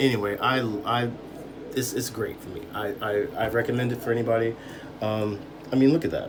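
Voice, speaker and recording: Amid noticeable background noise and audible room echo, a man talks at a fairly quick pace in fairly even intonation, with long, frequent pauses. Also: medium pitch for a man. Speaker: beauty tutorial vlogger. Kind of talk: tutorial. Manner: halting, stammering; casual.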